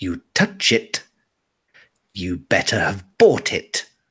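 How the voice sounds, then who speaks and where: A man does a put-on character voice that is hissing and raspy, delivered at a very slow pace. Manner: hissing, threatening.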